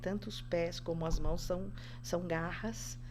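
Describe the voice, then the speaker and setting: A woman talks at a moderate pace, and audible room echo can be heard around her voice. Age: 60s. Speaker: podcast guest, spiritual practitioner. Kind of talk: casual interview chat.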